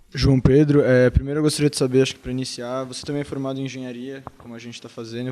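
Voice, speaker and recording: A man's medium-pitched, monotone voice at a very fast pace, with noticeable background noise. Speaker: engineering student. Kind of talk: interview question.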